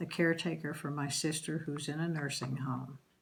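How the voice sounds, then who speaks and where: A woman speaks with an American accent in a very deep, low voice. Her intonation is fairly even, and the room echo is audible. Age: 70s. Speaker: grandmother interviewed for school project. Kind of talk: interview, life story. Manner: hesitant, frequent um and uh.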